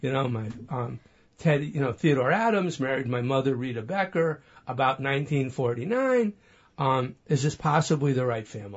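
A man speaks at a moderate pace with a medium pitch. His voice is somewhat breathy, with ordinary pitch variation. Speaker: man who found his birth family. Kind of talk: storytelling interview.

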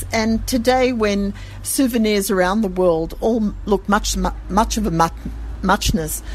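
Moderate-paced speech with an Australian accent, music in the background. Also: woman. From Sydney, Australia. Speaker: gift shop owner. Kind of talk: interview.

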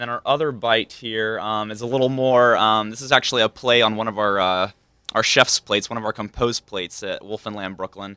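A man with an American accent speaks fairly quickly at a fairly low pitch in a bright, sharp tone, his intonation fairly even but his loudness swinging widely, the sound dry and close with no echo on a very clean recording with a silent background. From US South, Hickory, North Carolina. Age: young. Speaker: executive chef. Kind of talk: casual chat. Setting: studio.

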